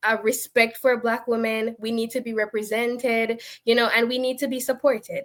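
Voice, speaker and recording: Speaking at a moderate pace with a Jamaican accent, a woman uses a fairly high pitch and monotone, flat intonation. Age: 20s. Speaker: panelist. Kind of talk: panel discussion. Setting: online live stream.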